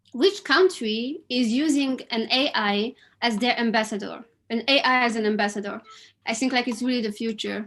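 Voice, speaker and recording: A woman with a French accent speaks at a moderate pace in a fairly high pitch. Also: ordinary pitch variation. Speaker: quiz host at online event. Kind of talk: live quiz hosting. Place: home room. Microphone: webcam.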